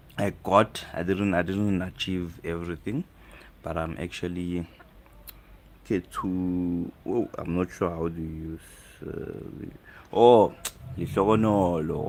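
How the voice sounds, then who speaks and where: This man has an East African accent and a very deep, low pitch. He talks at a fairly slow pace with long, frequent pauses. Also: fairly even intonation. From South Africa. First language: Swahili. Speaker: live streamer. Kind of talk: casual chat.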